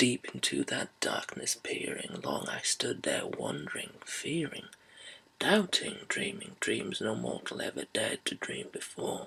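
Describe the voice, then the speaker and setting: A man whispers in a put-on character voice, breathy throughout. His pace is fairly slow. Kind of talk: whispered poetry reading. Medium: read story. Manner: slow, hushed.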